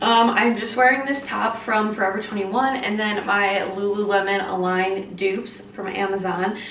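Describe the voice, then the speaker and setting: Audible room echo plus noticeable noise in the background. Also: woman. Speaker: lifestyle vlogger. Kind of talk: casual vlog talk to camera. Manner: animated; fast.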